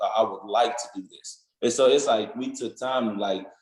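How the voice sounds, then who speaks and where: A man is speaking. He has an African accent. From Nigeria. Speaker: college football player. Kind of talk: interview. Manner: casual, many fillers.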